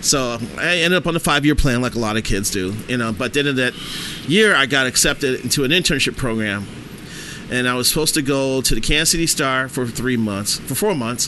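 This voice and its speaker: With an American accent, a man speaks fairly quickly at medium pitch and ordinary pitch variation over noticeable background noise. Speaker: sports writer. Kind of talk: casual chat.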